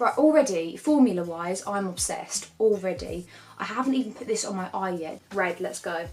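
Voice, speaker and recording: There's noticeable background noise as a speaker with a British accent talks with lively intonation and big swings in loudness. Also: woman, medium pitch for a woman, moderate pace. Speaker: beauty YouTuber. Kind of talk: makeup tutorial and product review. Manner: animated.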